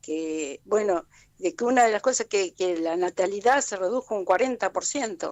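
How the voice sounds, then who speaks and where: In a Rioplatense accent, a woman talks at a fairly slow pace with lively intonation. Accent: Argentine Rioplatense Spanish. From Argentina, Alto Valle of Río Negro (Allen). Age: 70s. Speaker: community activist. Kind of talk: radio interview. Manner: halting, with many false starts.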